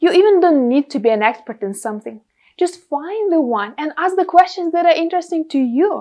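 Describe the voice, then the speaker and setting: The speaker talks fairly quickly in a Russian accent. Pitch swings very widely throughout. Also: woman, extremely high pitch for a woman. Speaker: podcast host and content creator. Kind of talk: tutorial.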